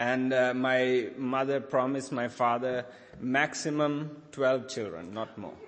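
A man talks very slowly with fairly even intonation. Audible room echo and noticeable background noise surround his voice. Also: medium pitch for a man. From Sri Lanka. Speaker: charity leader speaking at church. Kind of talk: sermon with interpreter. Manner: halting.

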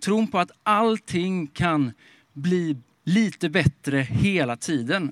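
In a very clean recording with a silent background and a dry, close sound with no echo, a man speaks at a high pitch with lively intonation. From Småland, Sweden. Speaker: pastor. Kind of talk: sermon. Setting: outdoors in a park.

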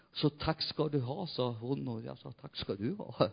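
A man speaks in an animated tone with lively intonation. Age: 60s. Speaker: pastor. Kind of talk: sermon.

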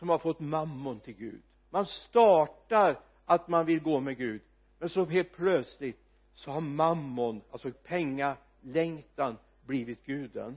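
Speaking at a very slow pace, a man with a fairly high pitch uses ordinary pitch variation while his loudness swings widely. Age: 70s. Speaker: preacher. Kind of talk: sermon. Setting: church.

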